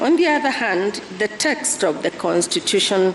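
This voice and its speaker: Soft-spoken and fairly slow, a woman with a medium pitch and lively intonation talks over noticeable background noise. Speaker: deputy chief justice. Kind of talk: court judgment reading.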